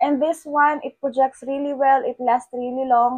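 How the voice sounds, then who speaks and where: A high-pitched woman at a moderate pace, in a dry, close sound with no echo. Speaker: beauty content creator. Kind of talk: product review vlog. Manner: casual, chatty with fillers.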